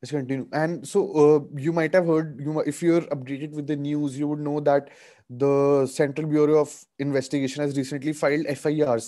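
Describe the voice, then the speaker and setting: At a moderate pace over a quiet background, a man speaks in a dark, mellow tone with monotone, flat intonation. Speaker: webinar presenter, lawyer. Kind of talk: lecture. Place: home room. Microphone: video call.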